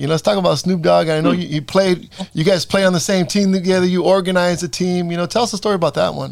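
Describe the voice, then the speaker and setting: A man with an American accent speaks very fast with hardly any pauses. His voice is high-pitched, and his intonation is fairly even. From Salinas, California. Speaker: podcast host and basketball coach. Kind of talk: interview.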